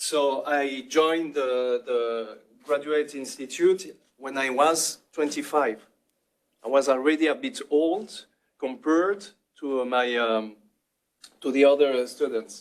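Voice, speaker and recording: Talking at a very slow pace with long, frequent pauses, a man uses a fairly high pitch and ordinary pitch variation. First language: French. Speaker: NGO founder and activist. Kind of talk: panel talk to students. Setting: roundtable with student audience. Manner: hesitant, many fillers.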